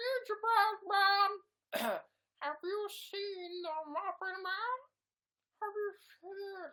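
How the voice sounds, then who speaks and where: An extremely high-pitched put-on character voice moves at a very slow pace. Long pauses come often. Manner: playful, singsong.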